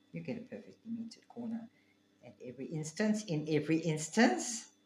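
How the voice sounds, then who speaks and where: Fairly high-pitched and fairly quick, a woman speaks with vocal fry, very wide pitch swings and big swings in loudness. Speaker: quilting teacher. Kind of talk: tutorial.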